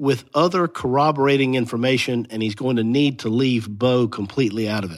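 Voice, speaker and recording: In a very clean recording with a silent background, a man with an ordinary speaking voice talks at a moderate pace and medium pitch. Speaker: legal analyst. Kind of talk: interview.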